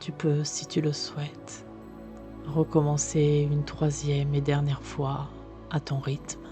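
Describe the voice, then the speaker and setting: Very slow speech with long, frequent pauses and music in the background. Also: woman. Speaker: sophrologist. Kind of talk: guided relaxation. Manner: soft, slow.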